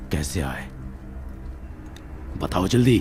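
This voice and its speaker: A man in a put-on character voice, with clear background noise. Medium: fan dub. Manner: grim, ominous.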